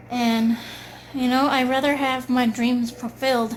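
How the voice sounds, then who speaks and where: Over noticeable background noise, a woman with a fairly high voice speaks at a fairly slow pace in a monotone, flat way. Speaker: video blogger. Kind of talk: casual monologue.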